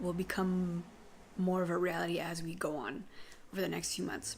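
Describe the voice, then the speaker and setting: With a normal speaking voice, a woman talks at a moderate pace in a medium pitch, keeping her intonation fairly even. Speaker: vlogger sharing chronic illness update. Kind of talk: casual vlog monologue.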